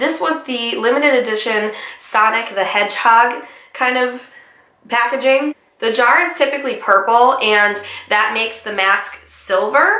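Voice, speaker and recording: The speaker talks at a fairly slow pace with ordinary pitch variation. There is audible echo in the room. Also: woman, high pitch for a woman. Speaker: beauty vlogger. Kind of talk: product review. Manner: casual, conversational.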